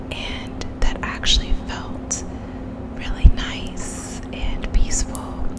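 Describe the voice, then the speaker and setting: Whispering in a gentle tone, a woman is heard over loud background noise. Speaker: ASMR creator reading her poems. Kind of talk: soft ASMR poetry reading and chat. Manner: gentle whisper close to mic. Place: kitchen. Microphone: studio mic.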